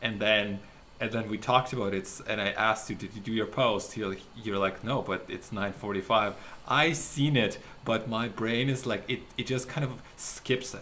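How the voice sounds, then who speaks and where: A man with a non-native accent talks at a moderate pace in a medium pitch. His tone is bright and sharp, his intonation fairly even. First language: not English. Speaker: podcast co-host. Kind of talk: casual chat.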